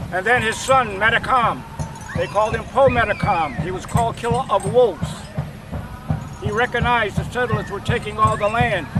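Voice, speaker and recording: A man with an American accent talks at a moderate pace in a high voice with ordinary pitch variation over noticeable background noise. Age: 70s. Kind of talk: personal testimony and oral history. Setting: outdoors at a powwow.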